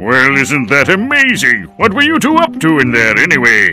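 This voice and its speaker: At a moderate pace, a man performs a put-on character voice over clear background noise. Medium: machinima.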